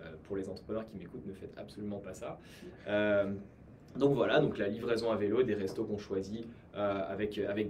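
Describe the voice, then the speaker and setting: Heard with audible room echo, a man talks at a fairly quick pace in a fairly low, somewhat breathy voice. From France. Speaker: entrepreneur. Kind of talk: personal story talk at live event. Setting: live event at company offices with audience. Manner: hesitant, many fillers.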